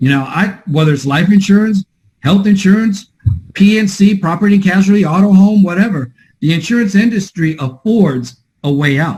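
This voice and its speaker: A man's high-pitched voice, ordinary pitch variation, moderate pace. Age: 50s. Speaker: podcast host, insurance agency mentor. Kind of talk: casual interview chat. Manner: animated.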